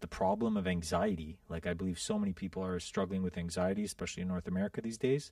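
This man has a fairly low pitch and ordinary pitch variation. It is an unremarkable speaking voice. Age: 40s. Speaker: entrepreneur and former pilot. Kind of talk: casual chat.

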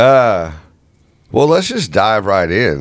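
The delivery is very slow, with very wide pitch swings. Vocal fry runs through the voice. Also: man. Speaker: sports podcast host. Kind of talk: casual chat.

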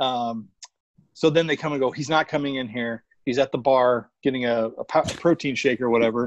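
A man speaks at medium pitch and a moderate pace, in an unremarkable speaking voice. The sound is dry and close, with no echo. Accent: American. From Arizona, Phoenix area. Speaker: sneaker collector and social media personality. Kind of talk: casual chat.

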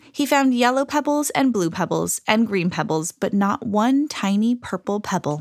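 Lively intonation runs through the speaker's unforced reading voice.

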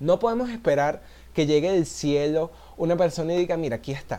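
A man with a Venezuelan accent, dark, mellow tone, lively intonation and moderate pace. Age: 20s. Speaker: podcaster. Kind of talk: casual solo monologue.

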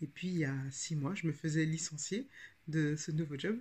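This woman speaks with a very deep, low pitch. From France, Paris region. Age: 30s. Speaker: podcast host and writing coach. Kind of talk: casual podcast monologue. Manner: hesitant, frequent filler 'euh'.

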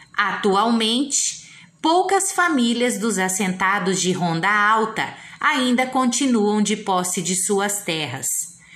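The delivery is very slow, with lively intonation and very even loudness. Room echo is audible. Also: woman, fairly high pitch for a woman. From Brazil, Paraná. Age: 40s. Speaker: teacher. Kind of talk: reading aloud. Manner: formal.

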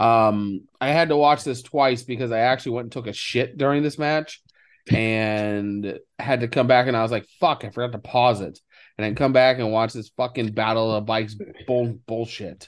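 In a normal speaking voice, a man speaks at medium pitch and a moderate pace with fairly even intonation against a quiet background. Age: 30s. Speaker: wrestling podcast host. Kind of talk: casual chat.

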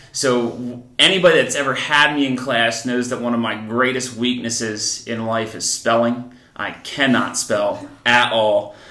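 In an American accent, a man at a medium pitch talks with fairly even intonation and hardly any pauses, with audible room echo and noticeable background noise. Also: fairly slow pace. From New Jersey, Columbus near Trenton. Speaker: middle school teacher. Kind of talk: casual interview.

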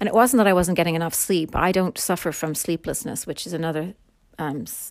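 A woman speaks with an Irish accent at a fairly low pitch. The recording is very clean, with a silent background. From Ireland. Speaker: podcast host. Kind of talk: casual monologue. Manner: chatty.

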